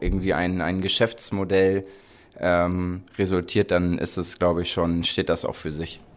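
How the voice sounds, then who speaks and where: His voice is very deep and low, with monotone, flat intonation. The man keeps a moderate pace. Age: 30s. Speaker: podcast host. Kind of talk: casual chat.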